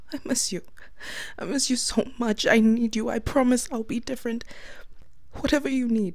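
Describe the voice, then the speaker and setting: The woman's voice sits at a fairly high pitch and has a tearful tone. She keeps a moderate pace. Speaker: ASMR voice actor playing an ex-girlfriend. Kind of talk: scripted ASMR voicemail monologue, pleading and sad. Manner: tearful, choked and trembling, begging; halting, with bitter laughs between lines.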